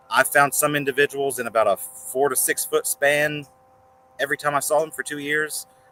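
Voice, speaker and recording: With music in the background but dry, close sound with no echo, a man in a West Virginia accent speaks at a fairly quick pace and fairly high pitch. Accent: West Virginia accent, unaware of it. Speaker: reptile breeder. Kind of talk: podcast interview. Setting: outdoors.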